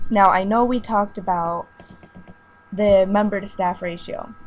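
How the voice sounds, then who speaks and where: The voice is quiet and comes at a fairly slow pace. Its intonation stays monotone and flat. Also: woman. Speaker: online community site admin. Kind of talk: casual voice message to site staff.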